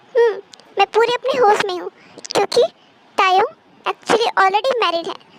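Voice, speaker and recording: Putting on a character voice, a woman speaks at an extremely high pitch and a fairly quick pace with ordinary pitch variation. The sound is dry and close, with no echo. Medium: fan dub. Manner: assertive, possessive.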